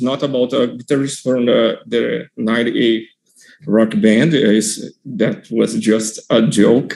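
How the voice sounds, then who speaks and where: Fairly slow speech in a non-native accent. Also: man. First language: not English. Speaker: software developer, contest winner. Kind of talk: software demo presentation. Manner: halting, many fillers.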